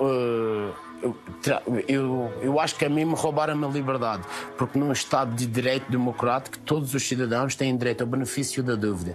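A man's speech moves along at a moderate pace while clear music sounds behind him. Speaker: interviewee. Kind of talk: interview answer. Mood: serious, emotional, halting. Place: garden. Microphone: lapel.

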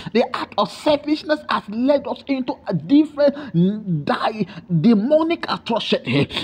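Someone talks at a moderate pace while noticeable noise fills the background. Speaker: prayer leader. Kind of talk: fervent intercessory prayer. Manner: fervent, repetitive, pleading.

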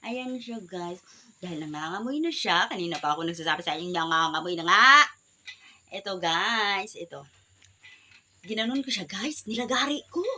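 This woman's pitch swings very widely. Noticeable background noise runs under her voice. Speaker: vlogger. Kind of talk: casual vlog. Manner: animated.

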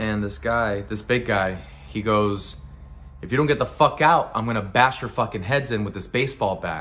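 The voice is gravelly and intense in tone, with ordinary pitch variation. It moves at a moderate pace. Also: man, fairly low pitch for a man. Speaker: actor performing a monologue. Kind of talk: dramatic monologue, acted performance of a character. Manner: gritty, intense, conversational storytelling. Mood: bitter, angry recollection. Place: home room. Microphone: phone near.

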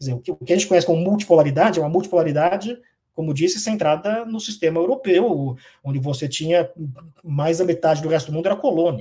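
The voice has a dark, mellow tone and ordinary pitch variation. It moves at a very fast pace over a quiet background. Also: man, high pitch for a man. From Brazil. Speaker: professor of international relations; professor. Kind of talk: interview. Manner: hesitant, many fillers. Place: home room.

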